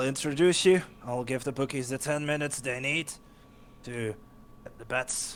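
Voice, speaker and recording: Over clear background noise, a man puts on a raspy character voice at medium pitch, speaking at a moderate pace with long, frequent pauses. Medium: actual play. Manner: brash, showy.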